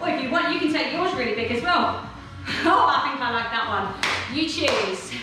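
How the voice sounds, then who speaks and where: A woman is heard with noticeable background noise and strong room echo. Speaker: fitness instructor. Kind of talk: workout instruction. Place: home room. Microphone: camera far.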